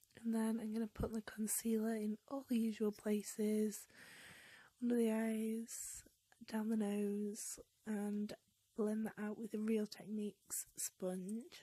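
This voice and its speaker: With a British accent, the speaker talks at a very slow pace in a somewhat breathy voice with a dark, mellow tone. The intonation is monotone and flat, and the sound is dry and close with no echo. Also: woman, fairly high pitch for a woman. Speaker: beauty vlogger. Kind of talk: makeup tutorial voiceover. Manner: casual, with filler ums.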